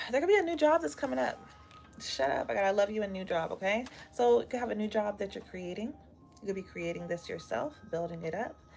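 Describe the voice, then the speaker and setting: Over music in the background, a woman talks very fast at a medium pitch, her voice swinging very widely in pitch. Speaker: tarot reader. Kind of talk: live tarot reading stream. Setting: livestream with live chat. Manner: casual, chatty.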